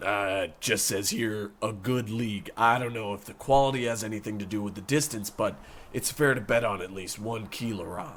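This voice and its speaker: A man's raspy, fairly low put-on character voice at a moderate pace, over clear background noise. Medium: audio drama. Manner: flat, reluctant.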